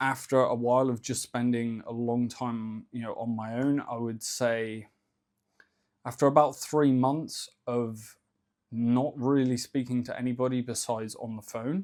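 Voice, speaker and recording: A man with a slight Cornish accent speaks at a fairly slow pace with fairly even intonation. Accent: slight Cornish southern English. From England, Cornwall. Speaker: ecommerce entrepreneur, YouTuber. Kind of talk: casual vlog monologue. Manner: relaxed, conversational with fillers.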